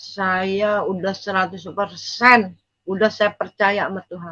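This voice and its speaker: A woman speaks at a very slow pace. Her medium-pitched voice has a bright, sharp tone. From East Java, Indonesia. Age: 60s. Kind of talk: testimony. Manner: casual, halting.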